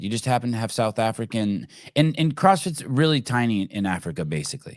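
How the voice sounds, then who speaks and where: A man talks at a fairly quick pace with lively intonation in a normal speaking voice. The recording is very clean, with a silent background. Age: 50s. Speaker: podcast host. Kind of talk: casual interview chat.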